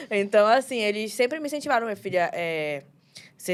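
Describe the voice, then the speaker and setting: A woman's medium-pitched voice, very fast in pace and lively in intonation. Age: 20s. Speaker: young pastor. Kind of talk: casual chat.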